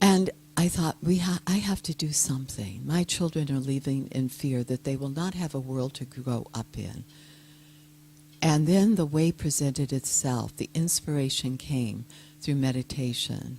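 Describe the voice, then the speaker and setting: A dark, mellow tone carries a somewhat breathy quality. The delivery is moderately paced, and the pitch varies in an ordinary way. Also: woman, very deep, low pitch for a woman. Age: old. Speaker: peace activist and yoga teacher. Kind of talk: speech.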